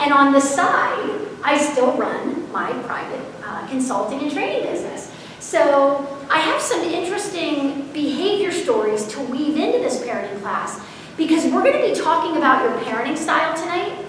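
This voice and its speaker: The speaker has an American accent and very wide pitch swings. There is audible room echo and noticeable background noise. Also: woman, high pitch for a woman, moderate pace. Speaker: parenting educator and consultant. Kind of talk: seminar presentation. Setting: live audience, unmiked. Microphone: no microphone, room sound.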